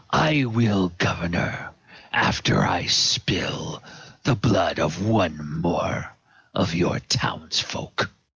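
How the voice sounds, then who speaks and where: Growling in a put-on character voice, a man speaks very slowly at a fairly low pitch with a menacing tone. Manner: menacing, defiant.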